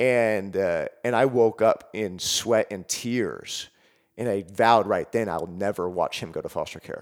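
This man has a plain, everyday voice with an American accent, at medium pitch. He speaks at a fairly slow pace with fairly even intonation on a very clean recording with a silent background. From Seattle, US Pacific Northwest. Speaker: mental health professional and public speaker. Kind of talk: personal life story in interview.

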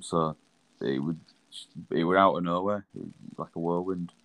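Relaxed in tone, the speaker has a Yorkshire accent and a moderate pace. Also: man. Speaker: rugby league player. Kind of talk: casual chat.

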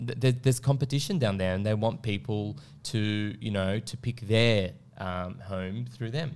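Speaking with an Australian accent, a man with a fairly low pitch and ordinary pitch variation talks at a fairly slow pace. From Australia, Melbourne. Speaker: property consultant. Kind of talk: casual interview. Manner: halting, many fillers and restarts.

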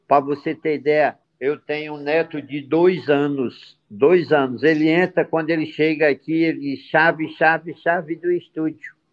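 Hardly any pauses break up this man's speech. His pitch is fairly high and his intonation is monotone and flat. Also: fairly slow pace. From Ceará, Brazil. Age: 60s. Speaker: music entrepreneur, band founder. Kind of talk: interview.

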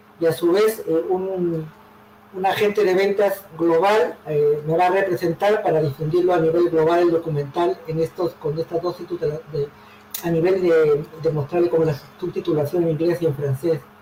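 This man's voice sits high in pitch, with fairly even intonation over noticeable background noise. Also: moderate pace. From Peru, Callao and Lima. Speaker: poet. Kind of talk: interview.

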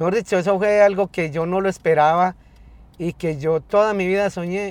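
A fairly quick pace with ordinary pitch variation. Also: man. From Colombia, north of Valle del Cauca. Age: 50s. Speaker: taxi driver. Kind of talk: interview. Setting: in a car. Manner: halting, repeats words.

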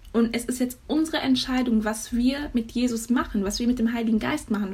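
A woman talks in an ordinary speaking voice. Her pitch is fairly high. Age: young. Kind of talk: faith talk monologue. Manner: casual with many fillers.

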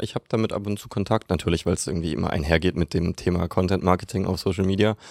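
In a very clean recording with a silent background, a man talks at a very fast pace, fairly low in pitch, with ordinary pitch variation. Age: 20s. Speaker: marketing consultant. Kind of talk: podcast interview. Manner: many filler sounds.

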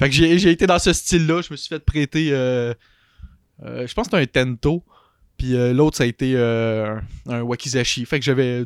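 On a very clean recording with a silent background, a man talks at a moderate pace with ordinary pitch variation, the sound dry and close with no echo. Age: 20s. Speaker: larp player. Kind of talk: casual chat.

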